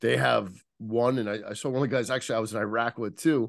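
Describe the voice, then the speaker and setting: A man with a New Jersey accent, medium pitch, ordinary pitch variation, a fairly quick pace and a quiet background. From US Northeast, Central New Jersey. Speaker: former police detective and author. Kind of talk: podcast interview. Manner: halting, repetitive starts.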